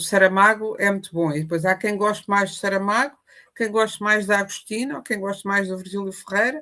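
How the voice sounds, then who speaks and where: A woman talks at a fairly quick pace with a medium pitch. Her loudness swings widely. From Portugal. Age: 60s. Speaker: writer and journalist. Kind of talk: interview. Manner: animated.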